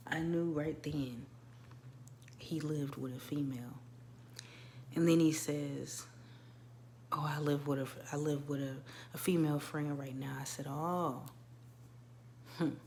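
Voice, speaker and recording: A woman's very deep, low voice, monotone and flat, at a fairly slow pace with long, frequent pauses and audible room echo. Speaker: birth doula and wellness coach vlogger. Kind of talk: casual personal vlog monologue. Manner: conversational with frequent fillers.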